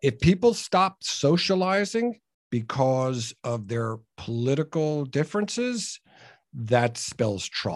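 A man with a fairly high pitch talks at a very slow pace. His pitch swings very widely against a quiet background. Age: 60s. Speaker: entrepreneur and business coach. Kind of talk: interview.

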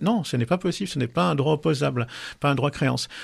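This man's voice has vocal fry. His intonation is lively. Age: 50s. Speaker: sexologist and couples therapist. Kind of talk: casual chat. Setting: studio.

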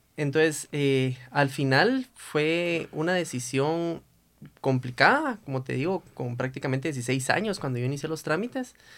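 A normal speaking voice at a fairly slow pace, with ordinary pitch variation, on a very clean recording with a silent background. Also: man, fairly high pitch for a man. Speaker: lawyer. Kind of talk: casual chat.

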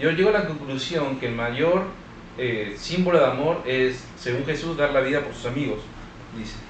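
A man talks at a moderate pace with ordinary pitch variation. His voice is fairly high, and the background noise is noticeable. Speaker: podcast co-host. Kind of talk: casual chat.

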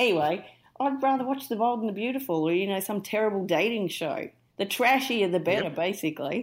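With a strong Australian accent, a woman talks at a very fast pace in a medium pitch with lively intonation. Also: very clean recording, silent background. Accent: broad Australian. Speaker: podcast guest. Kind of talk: casual chat.

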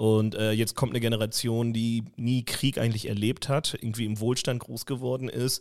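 The recording is very clean, with a silent background. A man speaks at a moderate pace in a medium pitch, his intonation monotone and flat. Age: 30s. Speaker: podcast co-host. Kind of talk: casual chat.

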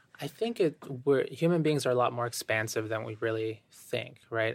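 A man talks at a fairly quick pace. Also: very clean recording, silent background. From Boston, Massachusetts (born in Ecuador). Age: 30s. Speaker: meditation writer and poet. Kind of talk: casual interview conversation. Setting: live podcast recording at a venue.

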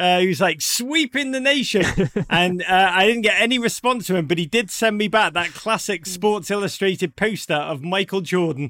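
With a Liverpool accent, a raised, projected voice carries over noticeable background noise. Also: man, high pitch for a man, lively intonation, moderate pace. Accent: Liverpool (Scouse) English. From northern England (Liverpool). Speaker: soccer broadcaster and author. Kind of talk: casual chat.

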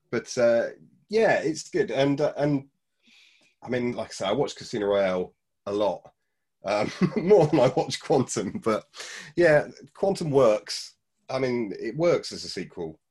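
Against a quiet background, a man with a British accent speaks at a fairly slow pace with long, frequent pauses, his fairly high pitch swinging very widely. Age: 40s. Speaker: film fan podcast guest. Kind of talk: casual chat. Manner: halting.

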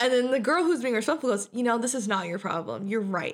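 A woman's fairly high, animated voice with vocal fry at a very fast pace. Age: 20s. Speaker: podcast host. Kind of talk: casual chat.

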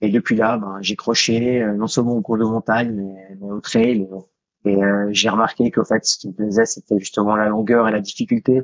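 This man has a fairly low pitch and a monotone, flat intonation. He speaks at a moderate pace. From Switzerland. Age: 30s. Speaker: ultra-trail runner and police investigator. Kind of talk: interview conversation. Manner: halting, many repetitions.

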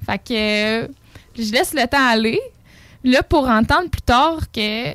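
An ordinary speaking voice moves at a fairly slow pace with lively intonation. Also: woman. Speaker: psychoeducator. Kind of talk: casual interview.

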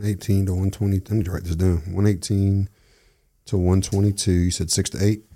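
A man's somewhat breathy voice, fairly low in pitch, with a dark, mellow tone and fairly even intonation. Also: big swings in loudness. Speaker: whiskey enthusiast. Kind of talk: casual chat with whiskey tasting.

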